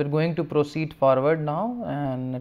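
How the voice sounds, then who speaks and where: This is a man talking. His pitch moves with ordinary variation. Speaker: university lecturer. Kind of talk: lecture. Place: studio. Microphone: lapel.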